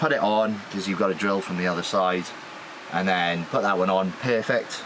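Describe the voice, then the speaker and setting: Audible room echo and noticeable background noise surround a man's very deep, low voice. He speaks at a moderate pace with fairly even intonation. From South Wales. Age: 20s. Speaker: naval engineer and van owner. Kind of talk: van tour walkthrough. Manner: hesitant, many fillers.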